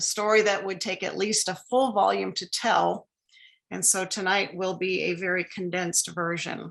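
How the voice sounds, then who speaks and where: A woman talks at a moderate pace with a medium pitch and vocal fry. Her intonation stays fairly even. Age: 60s. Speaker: lecture speaker. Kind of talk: lecture. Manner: formal.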